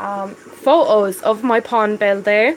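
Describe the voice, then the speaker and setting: A woman with a Dublin accent speaks at a very slow pace. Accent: Dublin Irish. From Ireland. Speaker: aquarium hobbyist live streamer. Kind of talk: live stream chat. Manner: casual, hesitant with fillers.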